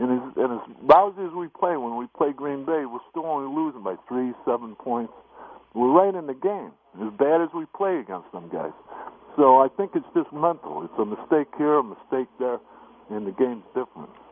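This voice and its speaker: A man with an American accent has an ordinary speaking voice at medium pitch and a moderate pace. His intonation is lively, with big swings in loudness. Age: 60s. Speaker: caller. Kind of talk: radio call-in.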